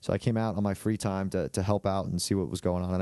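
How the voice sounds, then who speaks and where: The recording of this man with a Long Island accent is dry and close, with no echo. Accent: Long Island New York. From Long Island, New York. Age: 20s. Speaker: podcast co-host. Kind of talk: casual chat.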